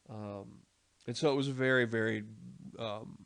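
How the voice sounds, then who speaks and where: Against a quiet background, a man speaks in a medium pitch. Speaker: history lecturer. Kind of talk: lecture. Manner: hesitant, many fillers.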